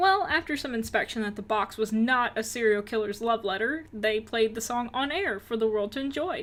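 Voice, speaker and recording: A woman's lively, fairly high-pitched voice in a Southern US accent, at a moderate pace. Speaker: rock music news youtuber. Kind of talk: news roundup vlog. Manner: upbeat, casual.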